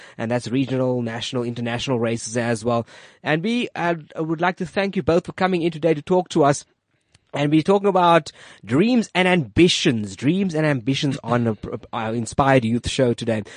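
A man with an ordinary speaking voice, fairly high pitch, lively intonation and fairly quick pace, in a dry, close sound with no echo and a quiet background. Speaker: radio host. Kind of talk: radio interview. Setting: studio. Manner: friendly, joking.

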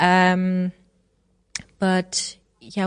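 A woman speaks with a German accent against a quiet background. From Germany. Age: 30s. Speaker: chairwoman of a digital policy association. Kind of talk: interview. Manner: halting.

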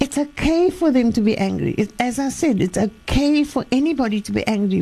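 A woman makes very wide pitch swings at a moderate pace over noticeable background noise. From Cape, South Africa. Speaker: life coach. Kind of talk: radio interview. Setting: studio.

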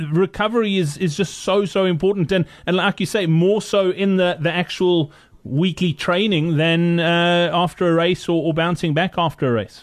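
A man's high voice, moderate in pace, with fairly even intonation, very even loudness and hardly any pauses. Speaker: podcast host. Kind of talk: interview. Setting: home studio with background noise.

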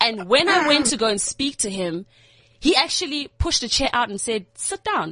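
A loud, high-pitched woman with very wide pitch swings at a moderate pace. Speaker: youth TV presenter. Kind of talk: casual chat. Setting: studio. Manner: excitable.

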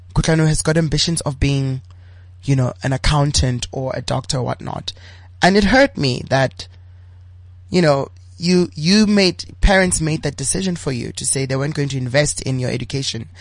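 At a moderate pace, a man talks in a fairly high, somewhat breathy voice with lively intonation. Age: 30s. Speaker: LGBTI activist and entrepreneur. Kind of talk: interview.

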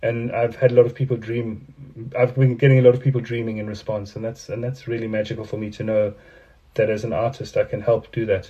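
A man talks at a fairly quick pace. His intonation is monotone and flat, and his voice is somewhat breathy. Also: medium pitch for a man. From South Africa. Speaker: artist. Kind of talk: interview. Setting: video call.

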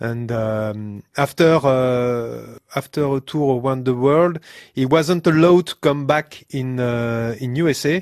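A man with a French accent talks very slowly in a medium-pitched voice with ordinary pitch variation. The sound is dry and close with no echo, and the background is quiet. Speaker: sound engineer. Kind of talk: casual chat. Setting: studio. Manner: halting, laughs often.

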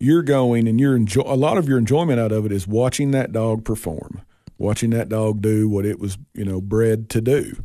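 With a Tennessee accent, a man of medium pitch speaks in a dark, mellow tone at a moderate pace with ordinary pitch variation, over a quiet background. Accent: Southern US (Tennessee). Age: 40s. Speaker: raccoon hunter. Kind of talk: casual chat.

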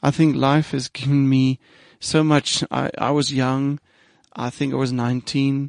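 A man at a medium pitch and a fairly slow pace, monotone and flat, in a dry, close sound with no echo. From South Africa, rural Eastern Cape. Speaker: business school head and psychologist. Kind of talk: interview. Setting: studio.

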